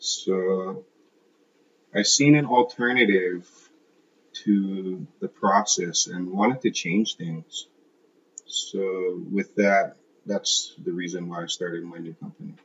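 A man's fairly low voice at a very slow pace, with long, frequent pauses and ordinary pitch variation. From Hawaii, Kailua on Oahu. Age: 30s. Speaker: landscaping business owner. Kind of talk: interview. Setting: at his home. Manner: casual, hesitant with fillers.

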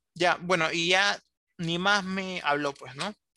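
A man's high-pitched, bright and sharp voice with fairly even intonation, dry and close with no echo. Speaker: illustrator and animator. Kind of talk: interview.

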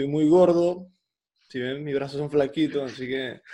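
With an unremarkable speaking voice, a man talks at a fairly high pitch and a moderate pace, his pitch varying in an ordinary way. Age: 20s. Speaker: podcaster. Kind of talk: casual chat.

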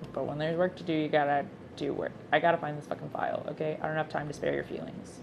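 A woman speaks at a very fast pace. Noticeable background noise runs beneath her. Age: 20s. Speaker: podcaster. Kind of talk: casual monologue. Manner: halting.

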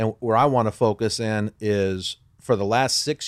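A man with an unremarkable speaking voice talks at a fairly low pitch and ordinary pitch variation, captured in a very clean recording with a silent background. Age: 50s. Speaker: podcast host. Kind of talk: casual interview.

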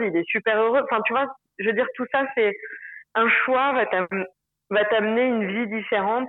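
A woman talks in a plain, everyday voice. She keeps a moderate pace with ordinary pitch variation. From Paris, France. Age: 30s. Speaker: expatriate interviewee. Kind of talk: casual interview.

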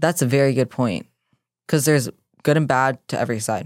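A woman talks at a fairly quick pace in a very deep, low voice with ordinary pitch variation. The recording is very clean with a silent background, and the sound is dry and close with no echo. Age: 20s. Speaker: fitness coach and podcast co-host. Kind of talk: casual chat. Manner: excitable.

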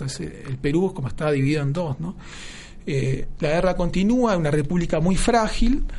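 A man speaks at a moderate pace with lively intonation and a high pitch. Noticeable background noise and audible room echo fill the recording. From Argentina, Buenos Aires. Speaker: historian. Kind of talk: interview. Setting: studio. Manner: halting, many fillers.

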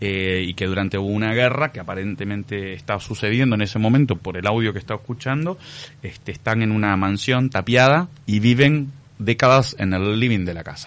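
Here a man uses a normal speaking voice at a fairly low pitch. He goes at a moderate pace with ordinary pitch variation. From Uruguay. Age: 40s. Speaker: actor. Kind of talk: radio interview.

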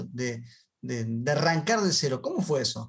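The intonation is lively, and the man's pitch is fairly high. His voice is somewhat breathy. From Argentina. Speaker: podcast host, franchise consultant. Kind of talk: interview. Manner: animated.

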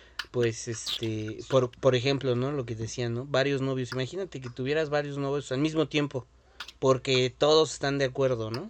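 A man speaks with fairly even intonation. Noticeable background noise can be heard. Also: medium pitch for a man, moderate pace. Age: 20s. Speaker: podcast host. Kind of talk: casual chat.

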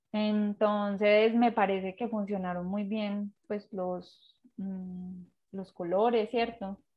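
A woman speaks at a very slow pace in a somewhat breathy voice. Her pitch is medium, and her intonation is monotone and flat. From Colombia, Pereira. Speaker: graphic designer and illustrator. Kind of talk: interview. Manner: hesitant, many fillers.

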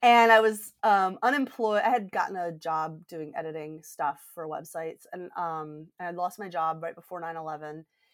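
A woman with an American accent and a plain, everyday voice talks at a moderate pace with hardly any pauses, a fairly low pitch, ordinary pitch variation and big swings in loudness. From US South, Georgia. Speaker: coach. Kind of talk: interview.

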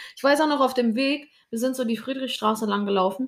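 This woman has an ordinary speaking voice, keeps to a moderate speed, and varies her pitch the usual amount. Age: 20s. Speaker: podcast co-host, dancer and social media creator. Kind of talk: casual chat.

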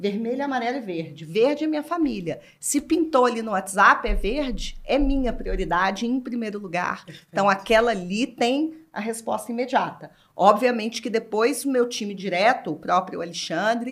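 Lively intonation and big swings in loudness mark this woman's ordinary speaking voice, pitched fairly high. She keeps a moderate pace with hardly any pauses. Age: 40s. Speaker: brand executive. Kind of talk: casual chat.

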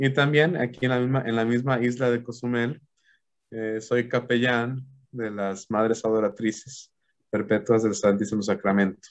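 The delivery is fairly slow. Intonation is monotone and flat. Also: man. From Mexico, Aguascalientes. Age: 30s. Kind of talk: theological talk in an interview. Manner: halting with fillers.

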